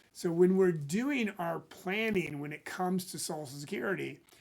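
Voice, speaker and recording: Here a man speaks in a high pitch. His pitch variation is ordinary. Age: 60s. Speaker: financial planner. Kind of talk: casual talk to camera.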